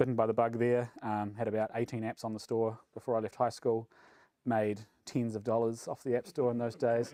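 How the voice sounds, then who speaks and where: Medium-pitched male voice, dark and mellow in tone, with monotone, flat intonation. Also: fairly quick pace. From New Zealand. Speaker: software engineering manager. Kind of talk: conference talk. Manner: fast; mumbly.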